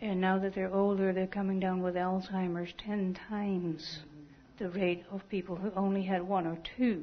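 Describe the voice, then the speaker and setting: At a moderate pace, a woman speaks in a somewhat breathy voice at medium pitch. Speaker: audience member. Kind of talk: comment from the floor. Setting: church meeting, speaking on a mic.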